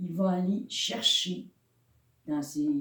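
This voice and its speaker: A woman talks at a very slow pace, and room echo is audible. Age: 60s. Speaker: pastor. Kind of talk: sermon. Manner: halting.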